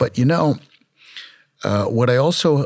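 On a very clean recording with a silent background, a man with an American accent uses a normal speaking voice, ordinary pitch variation and a fairly slow pace. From Brooklyn, New York. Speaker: dentist and founder of a dental education center.

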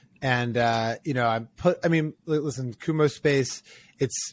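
A normal speaking voice with an American accent, moderate pace and ordinary pitch variation, in a dry, close sound with no echo. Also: man. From Maryland, US (Ocean City). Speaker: startup founder and venture investor. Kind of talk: interview.

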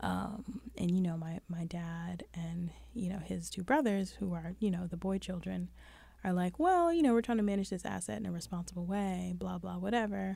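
A woman speaks with a New York accent. Her pace is moderate. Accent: New York City. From Brooklyn, New York. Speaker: podcast co-host. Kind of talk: casual chat.

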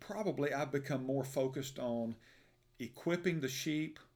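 A man talks with an Alabama accent. His pitch varies in an ordinary way. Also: very clean recording, silent background. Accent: Southern US (Alabama). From US South, Birmingham, Alabama. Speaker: pastor. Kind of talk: interview about his life and faith. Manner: hesitant, many fillers.

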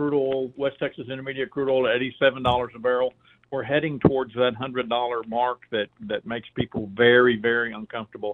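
This is a man with a normal speaking voice at a medium pitch. He moves at a fairly quick pace. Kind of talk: interview, explanatory talk radio. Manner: measured, explanatory.

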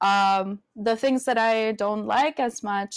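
A woman's fairly high voice with a Spanish accent and ordinary pitch variation, in a very clean recording with a silent background and a dry, close sound with no echo. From Venezuela. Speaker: community advocate and film producer. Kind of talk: casual interview. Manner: casual, hesitant, fillers.

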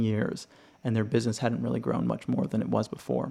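At a very fast pace, a man speaks with an American accent. His medium-pitched voice has a dark, mellow tone. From Los Angeles, US. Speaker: podcast host, juice bar consultant. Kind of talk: solo educational podcast monologue.

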